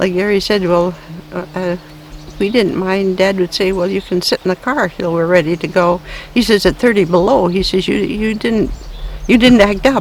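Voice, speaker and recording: Over noticeable background noise, a woman speaks at a moderate pace and a medium pitch. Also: ordinary pitch variation. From Ontario, Canada, then northern Wisconsin. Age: 80s+. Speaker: elderly local resident. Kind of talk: oral history interview. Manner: halting.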